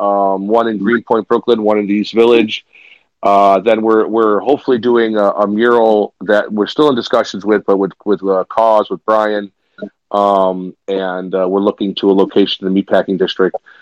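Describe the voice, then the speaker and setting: A man with an ordinary speaking voice and an American accent, fairly low in pitch, with fairly even intonation at a moderate pace. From Chicago, US Midwest. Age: 50s. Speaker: public art charity leader. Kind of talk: casual interview.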